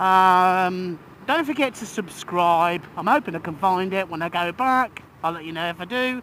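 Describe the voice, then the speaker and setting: This man speaks in a raised, projected voice with an English accent, pitched high for a man. His tone is bright and sharp, and his pace is moderate. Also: ordinary pitch variation. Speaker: vlogger and healthcare professional. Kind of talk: opinion vlog. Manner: halting.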